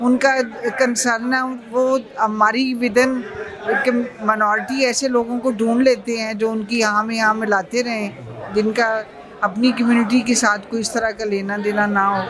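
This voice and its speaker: Noticeable background noise and audible room echo surround a woman with a Punjabi accent, whose fairly high voice keeps a fairly even intonation. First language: Punjabi (speaking Hindi). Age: 60s. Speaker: activist. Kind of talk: press interview. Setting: press club.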